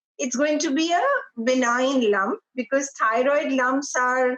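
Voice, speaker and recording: Here a woman speaks at a high pitch. She goes very slowly. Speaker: cancer survivor. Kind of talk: testimony.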